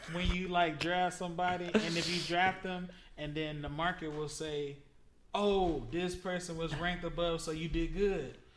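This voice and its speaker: Audible room echo surrounds a man with an American accent and a high pitch. He speaks at a moderate pace in a monotone, flat intonation. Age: 20s. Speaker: podcast guest. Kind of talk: casual chat.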